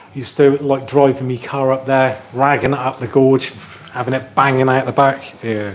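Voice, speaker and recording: Medium-pitched male voice at a moderate pace over noticeable background noise. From Somerset, England. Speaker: tech YouTuber. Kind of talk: live stream Q&A, casual chat. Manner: animated, chatty.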